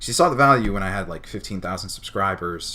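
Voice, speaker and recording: With an American accent, a man speaks in an unremarkable speaking voice, his pitch fairly low and its variation ordinary. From New Jersey. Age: 20s. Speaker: streamer. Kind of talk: casual chat. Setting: live stream.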